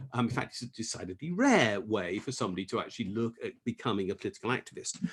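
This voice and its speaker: Speaking very fast with an English accent, a man uses lively intonation in a somewhat breathy, medium-pitched voice. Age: 60s. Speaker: economist and tax campaigner. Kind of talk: talk. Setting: video call.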